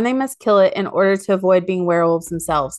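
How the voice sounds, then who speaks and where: Over a quiet background, a woman uses a normal speaking voice at medium pitch with ordinary pitch variation. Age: 30s. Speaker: podcast co-host. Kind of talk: casual chat.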